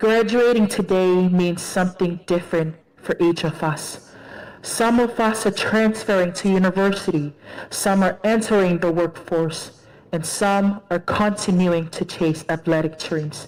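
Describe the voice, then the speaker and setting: Speaking at a fairly slow pace over noticeable background noise, a woman with a medium pitch keeps her loudness very even and her intonation fairly even. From Tonga. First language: Tongan. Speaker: graduating student speaker. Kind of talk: commencement speech.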